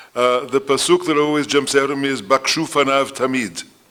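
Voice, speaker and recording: Amid noticeable background noise, a man with a fairly high pitch speaks with ordinary pitch variation. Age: 70s. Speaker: rabbi and theologian. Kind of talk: lecture.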